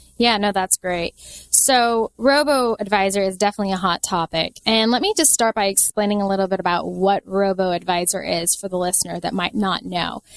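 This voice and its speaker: A woman with an American accent speaks at a fairly quick pace and medium pitch, with hardly any pauses and ordinary pitch variation. The very clean recording has a silent background and a dry, close sound with no echo. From US Pacific Northwest, Seattle. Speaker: financial advisor. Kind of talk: podcast interview.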